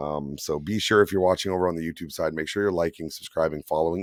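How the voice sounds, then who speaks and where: A Canadian accent in a dry, close sound with no echo. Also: man. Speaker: tow truck operator and podcast co-host. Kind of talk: casual podcast chat. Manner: halting, many fillers.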